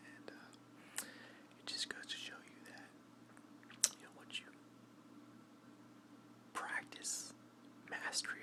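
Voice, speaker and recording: A man's whisper at a very slow pace, over noticeable background noise. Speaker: military veteran. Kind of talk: ASMR storytelling to camera. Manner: whispered.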